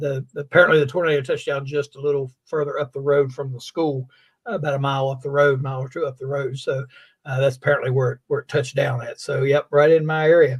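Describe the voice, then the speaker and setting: Breathing somewhat audibly, a man speaks at a very fast pace in a fairly high voice. His intonation stays monotone and flat. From West Virginia, Fayette County. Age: 60s. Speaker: sports show host. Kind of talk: casual chat. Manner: halting, many fillers.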